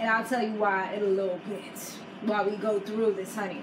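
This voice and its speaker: Over noticeable background noise and audible room echo, a woman with an American accent speaks at a moderate pace in an animated tone. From New York. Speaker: YouTuber, reality TV recapper. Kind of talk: casual chat.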